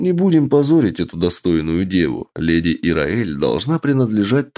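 Someone reads aloud in a plain way.

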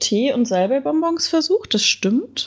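A woman speaks at a moderate pace. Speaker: podcast host. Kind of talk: casual banter podcast chat. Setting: remote recording with guests.

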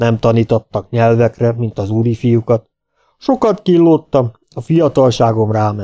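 A natural voice reads aloud with a quiet background behind it.

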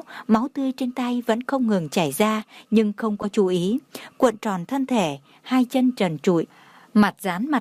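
An unforced reading voice comes through with ordinary pitch variation.

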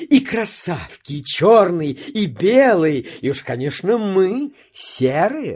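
A woman does a put-on character voice at a slow pace, fairly low in pitch with big pitch swings, a slightly husky edge and a slightly mellow tone.

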